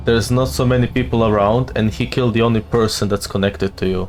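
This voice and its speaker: Over music in the background, the speech moves at a moderate pace with lively intonation. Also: man. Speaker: gaming streamer. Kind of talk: let's play commentary. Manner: mumbling at times.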